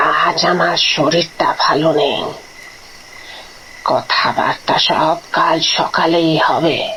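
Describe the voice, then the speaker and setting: In a put-on character voice, the speaker moves at a very slow pace while clear background noise plays behind. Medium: read story. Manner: curt, guarded.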